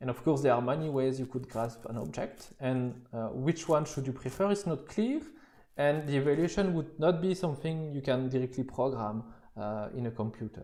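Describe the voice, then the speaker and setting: Medium-pitched male voice with a dark, mellow tone, a French accent, ordinary pitch variation and audible room echo. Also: moderate pace. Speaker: university lecturer. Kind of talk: lecture. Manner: halting, many fillers and repetitions.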